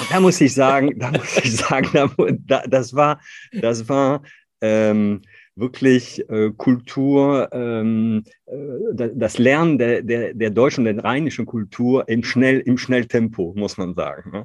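Speaking very slowly with a French accent, a man uses a medium pitch and ordinary pitch variation against a quiet background. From northern France. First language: French (speaking German). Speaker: company founder and CEO. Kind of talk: interview conversation. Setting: video call. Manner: halting, many fillers.

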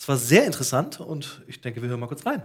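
A man speaks in a somewhat breathy voice. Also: very clean recording, silent background. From Ruhr area, Germany. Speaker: podcast host. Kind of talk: casual interview and on-location reportage.

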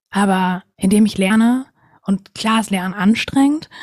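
Somewhat breathy and dark, mellow in tone, a woman speaks at a moderate pace. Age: 20s. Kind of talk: casual interview.

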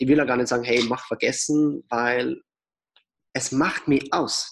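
Fairly even in intonation, a man talks at a medium pitch in an unremarkable speaking voice. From Austria. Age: 20s. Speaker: entrepreneur and author. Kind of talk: interview.

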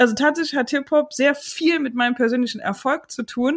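Speaking at a fairly quick pace in an animated tone, a woman comes through on a very clean recording with a silent background. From Chemnitz, Saxony, Germany. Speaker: podcast host. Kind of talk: interview.

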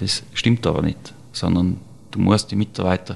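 Fairly slow speech from a man, pitched fairly low, with ordinary pitch variation. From Austria, Tyrol (Serfaus). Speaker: chef. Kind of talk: interview.

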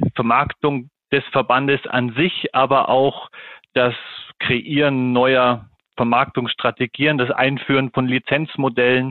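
A man speaks very slowly at a medium pitch. His intonation is monotone and flat. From Germany, Munich. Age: 40s. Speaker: golf association marketing head. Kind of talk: interview.

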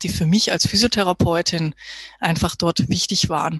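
A woman talks at a moderate pace in a fairly low voice, the sound dry and close with no echo and noticeable background noise behind her. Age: 30s. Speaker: physiotherapist. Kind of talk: interview.

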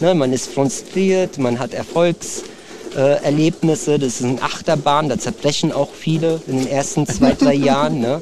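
Over noticeable background noise, a man with a fairly high pitch speaks at a fairly slow pace with ordinary pitch variation. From Germany. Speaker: martial arts trainer. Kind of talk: casual interview.

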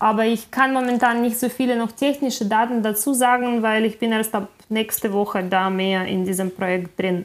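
A Ukrainian accent at a moderate pace, with hardly any pauses and fairly even intonation. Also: woman, fairly high pitch for a woman. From Ukraine, Kyiv. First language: Ukrainian (speaking German). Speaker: film director. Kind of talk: interview.

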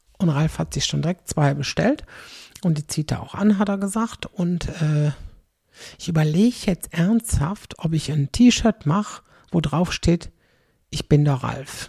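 A woman with a fairly low pitch and a dark, mellow tone talks fairly slowly and somewhat breathily, with ordinary pitch variation and long, frequent pauses, in a dry, close sound with no echo. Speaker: podcaster. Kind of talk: casual monologue. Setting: home kitchen, late at night. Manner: chatty, lots of fillers.

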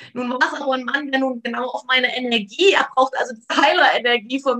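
A woman speaks in a high, raised and projected voice. Her pace is very fast. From eastern Germany, near Leipzig (Saxony). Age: 40s. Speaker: trauma therapist. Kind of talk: interview conversation.

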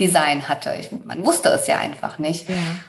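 Over noticeable background noise, a woman talks at a moderate pace in a fairly low pitch. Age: 30s. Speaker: human design coach, former finance worker. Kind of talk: interview.

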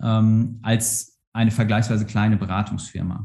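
The speech moves at a moderate pace. The voice is somewhat breathy. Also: man. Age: 30s. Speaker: organisational psychologist, university staff. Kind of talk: interview. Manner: halting, many fillers.

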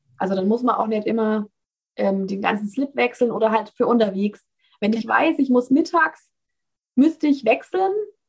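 With a Bavarian accent, a woman speaks at a moderate pace and fairly high pitch, somewhat breathy. Her intonation is lively, broken by long, frequent pauses. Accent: Bavarian, audible. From Bavaria, Germany. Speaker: founder of a cloth menstrual pad business. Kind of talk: casual interview.

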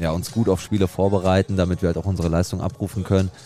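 Very fast and flat in intonation, a man speaks at a very deep, low pitch. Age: 20s. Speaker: amateur footballer. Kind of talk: interview.

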